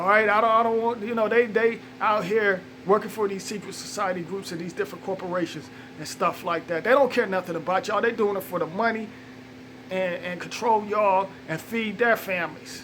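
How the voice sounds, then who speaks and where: A high-pitched man talks at a fairly quick pace with ordinary pitch variation. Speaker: conspiracy video vlogger. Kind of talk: monologue rant. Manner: fast; halting, repeats words.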